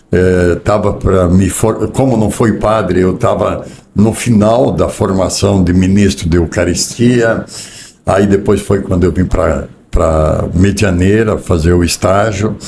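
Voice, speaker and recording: Through noticeable background noise, a man with a fairly low pitch talks at a very slow pace with fairly even intonation and very even loudness. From southern Brazil, Rio Grande do Sul. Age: 60s. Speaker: business executive. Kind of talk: interview.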